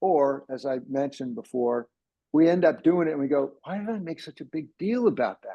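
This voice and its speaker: With an American accent, a man talks at a fairly quick pace in a fairly high pitch and lively intonation. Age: 60s. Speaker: ADHD coach. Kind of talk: presentation. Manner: animated.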